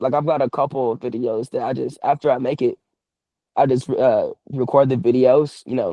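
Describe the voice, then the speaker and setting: With an Atlanta accent, a man speaks at a moderate pace and medium pitch with fairly even intonation. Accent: Southern US, Atlanta. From US South, Atlanta East Side. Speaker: professional wrestler. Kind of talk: casual chat.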